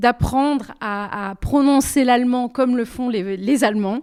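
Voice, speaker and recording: Taking a fairly slow pace, a woman talks in a high pitch. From southwestern France, Bordeaux. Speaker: singer-songwriter. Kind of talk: interview. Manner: hesitant, many repetitions.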